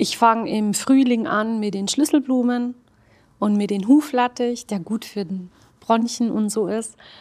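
Slowly, very slowly, a woman talks in a fairly high, somewhat breathy voice with ordinary pitch variation. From Swabia, Germany (Hildrizhausen). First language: Arabic (speaking German). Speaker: costume tailor and esotericist. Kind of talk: casual interview.

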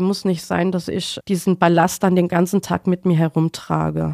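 With a dark, mellow tone, a woman talks at a moderate pace in a dry, close sound with no echo. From Germany, Mainz (Rhineland-Palatinate). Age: 40s. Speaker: tram driver. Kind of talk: interview.

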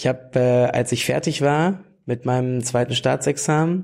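In a very clean recording with a silent background, a man speaks at a fairly slow pace with a medium pitch, ordinary pitch variation and a dark, mellow tone. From Lower Saxony, near Hanover. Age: 30s. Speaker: youth wing leader of a political party. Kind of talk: interview. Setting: party office.

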